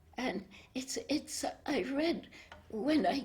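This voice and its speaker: This woman speaks in a high pitch. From Cambodia and Vietnam, French family. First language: French. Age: 80s+. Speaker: spiritual devotee. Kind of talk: interview. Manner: halting.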